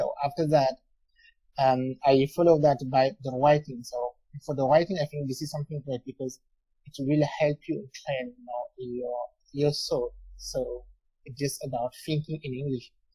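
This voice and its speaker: A man speaks at a moderate pace in a dark, mellow, somewhat breathy tone with monotone, flat intonation. The sound is dry and close with no echo. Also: fairly high pitch for a man, big swings in loudness. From France. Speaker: English learner. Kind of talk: casual chat. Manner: halting, many fillers.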